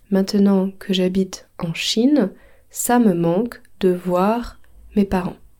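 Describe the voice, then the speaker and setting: A woman speaks at a very slow pace in a medium pitch, her dark, mellow tone carrying fairly even intonation. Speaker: French language teacher and podcast host. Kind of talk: language lesson.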